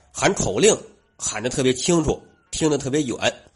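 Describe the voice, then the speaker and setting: A man speaks with a Tianjin accent at a moderate pace. His voice is somewhat breathy. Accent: Wuqing (Tianjin) accented Mandarin. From Wuqing, Tianjin, China. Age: young. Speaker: listener contributor. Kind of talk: storytelling. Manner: storyteller style.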